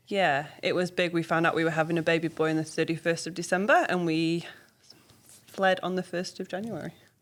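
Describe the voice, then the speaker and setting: Her delivery is monotone and flat, moving at a fairly quick pace. The speaker is a woman with a fairly low pitch. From northern England, Preston. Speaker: early childhood teacher. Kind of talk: casual interview.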